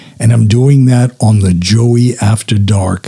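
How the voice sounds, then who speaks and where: A man's fairly low, somewhat breathy voice with a dark, mellow tone at a very slow pace. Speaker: podcast host. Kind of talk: solo intro and interview. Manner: hyper, excitable.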